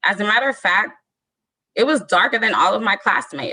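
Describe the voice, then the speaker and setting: A woman in a Southern Californian accent, bright and sharp in tone. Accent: Southern California American. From Southern California (Lynwood area). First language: Spanish. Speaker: storyteller. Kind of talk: reading aloud.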